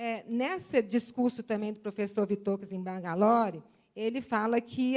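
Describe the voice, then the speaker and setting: A woman speaks in an unremarkable speaking voice at a fairly slow pace. Her pitch is fairly high, with ordinary variation. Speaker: seminar speaker on homeopathy. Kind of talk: lecture.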